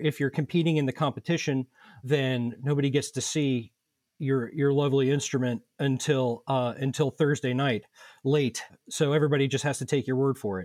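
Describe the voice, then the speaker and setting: In a very clean recording with a silent background, a man with a normal speaking voice talks at a moderate pace and fairly high pitch, the sound dry and close with no echo. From Indianapolis, Indiana. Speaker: violin society board member. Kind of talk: casual interview.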